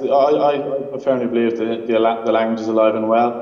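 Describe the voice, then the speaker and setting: In a room with audible echo, a man with an Irish accent speaks at a medium pitch and a fairly quick pace, his intonation fairly even. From Ireland. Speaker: remote interview guest. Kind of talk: interview answer. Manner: hesitant, casual. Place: office. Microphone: video call.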